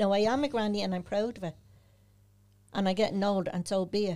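A woman speaks at a very fast pace in a medium-pitched voice with a dark, mellow tone. Her intonation stays fairly even. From Dublin inner city (the Liberties flats). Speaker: holistic therapist and medium. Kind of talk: casual interview chat.

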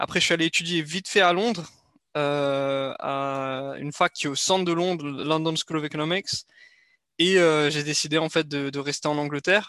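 A man's fairly high, bright and sharp voice with fairly even intonation at a moderate pace. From France, Strasbourg (Alsace). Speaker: business development professional and content creator. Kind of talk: interview. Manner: hesitant, many fillers.

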